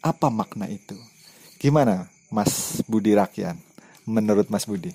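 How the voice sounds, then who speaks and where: A man with a fairly low pitch and a dark, mellow tone talks at a fairly slow pace with lively intonation, in a dry, close sound with no echo. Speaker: interviewer. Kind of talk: casual interview. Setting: outdoors behind host's house at night.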